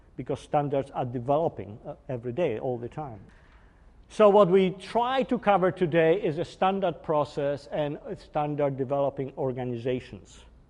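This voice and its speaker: Lively in his intonation, a man with a Polish accent speaks at a fairly high pitch. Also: moderate pace. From Poland. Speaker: engineering executive. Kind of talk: technical workshop lecture. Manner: hesitant, with fillers.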